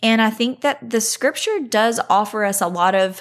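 A woman talks at a fairly slow pace in an unremarkable speaking voice. The recording is very clean with a silent background. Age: 30s. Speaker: podcast host. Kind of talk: solo faith podcast talk. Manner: conversational.

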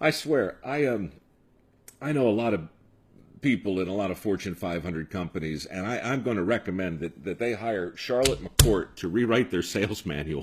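This is an unremarkable speaking voice with lively intonation. It moves at a moderate pace. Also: man, fairly low pitch for a man. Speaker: podcast host.

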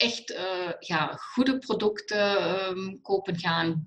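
This is a woman's voice. Her pitch sits in the medium range. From Germany. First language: German (speaking Dutch). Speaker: alternative therapist and cancer coach. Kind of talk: interview. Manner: halting, mixing Dutch and German.

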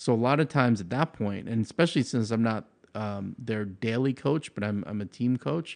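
A man with an American accent in a plain, everyday voice, medium in pitch with ordinary pitch variation, at a moderate pace over a quiet background. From Long Island, New York. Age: 40s. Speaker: powerlifting coach and gym owner. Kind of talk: casual interview.

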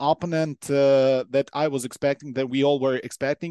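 A man's fairly high-pitched voice with a dark, mellow tone and a Ukrainian accent, against a quiet background. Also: dry, close sound with no echo. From Ukraine. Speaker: football commentator and pundit. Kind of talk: casual chat. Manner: halting.

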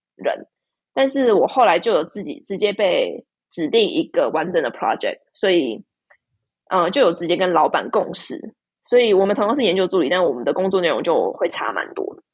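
The woman's volume rises and falls a great deal. She keeps a moderate pace. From Taiwan. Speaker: PhD student. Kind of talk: casual interview chat.

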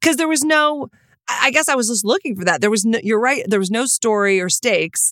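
With an American accent, a woman talks at a fairly quick pace in a plain, everyday voice, with fairly high pitch and lively intonation, in a dry, close sound with no echo. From Texas. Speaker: podcast co-host. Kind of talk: casual chat.

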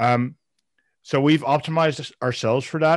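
With a Dutch accent, a man speaks at a fairly slow pace. The background is quiet. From Netherlands. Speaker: software founder. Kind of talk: interview. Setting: remote call. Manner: halting, frequent repetitions.

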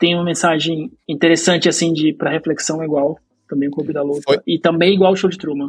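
At a moderate pace, the speaker uses an unremarkable speaking voice. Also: man. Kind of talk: casual chat.

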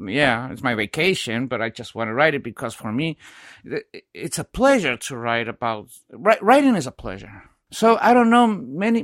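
With an Ecuadorian accent, a man with a fairly high pitch talks at a moderate pace with very wide pitch swings, in a dry, close sound with no echo and a very clean recording over a silent background. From Quito, Ecuador. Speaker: sports journalist. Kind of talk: casual interview chat. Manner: halting, non-fluent English.

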